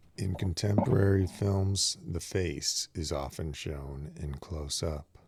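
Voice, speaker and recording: Calm and somewhat breathy, a man with a very deep, low pitch speaks at a very slow pace with ordinary pitch variation. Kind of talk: audiobook reading of a philosophy text. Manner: slow, calm, measured.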